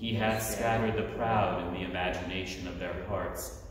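A man at a moderate pace, with strong room echo and light background noise. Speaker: officiant leading evening prayer. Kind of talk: liturgical prayer service. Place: church. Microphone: camera far.

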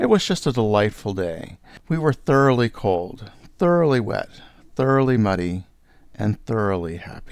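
On a very clean recording with a silent background, a man with an American accent speaks at a moderate pace and medium pitch with lively intonation. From California, Palo Alto. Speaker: spoken word performer. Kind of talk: scripted narration.

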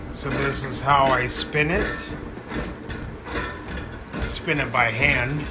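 Loud background noise runs throughout. Through it, a man talks. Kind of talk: tutorial. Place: kitchen. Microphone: phone near.

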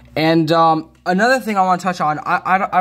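Ordinary pitch variation runs through the man's speech. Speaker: vlogger. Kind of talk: casual vlog chat. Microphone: phone near.

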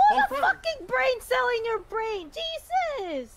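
The voice sits at an extremely high pitch with very wide pitch swings. Its pace is fairly slow. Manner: shouting, furious.

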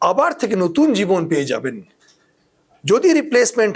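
This man speaks at a high pitch, his voice swinging very widely up and down. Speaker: orthopedic surgeon. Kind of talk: health explainer talk. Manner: warm, conversational.

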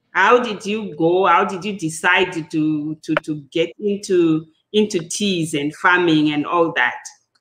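A woman speaks fairly slowly in an ordinary speaking voice, fairly low in pitch with ordinary pitch variation. Light background noise sits behind her. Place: home room.

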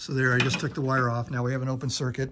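A man speaks over light background noise. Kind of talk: casual how-to commentary. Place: garage. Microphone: phone near.

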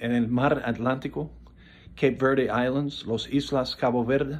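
A man's voice is heard. It sits at a medium pitch. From South Florida, Coral Gables. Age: 70s. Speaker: political commentator. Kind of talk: political monologue. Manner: halting, many fillers. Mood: earnest, critical. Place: home room. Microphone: phone near.

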